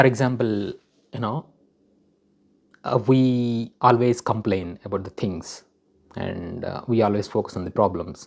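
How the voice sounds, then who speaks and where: In a Telugu accent, a man of medium pitch speaks at a fairly slow pace with long, frequent pauses. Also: ordinary pitch variation. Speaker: vlogger. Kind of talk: personal self-help talk. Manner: hesitant, many fillers.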